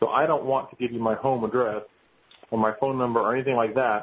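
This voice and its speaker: A man's somewhat breathy voice at a medium pitch. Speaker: webinar moderator and panelist. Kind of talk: webinar discussion.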